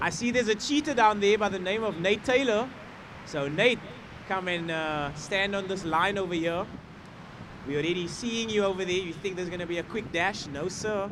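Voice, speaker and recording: A man talks with a high pitch and ordinary pitch variation. Noticeable background noise sits behind him. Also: moderate pace. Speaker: surf contest announcer. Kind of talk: live commentary. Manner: loud.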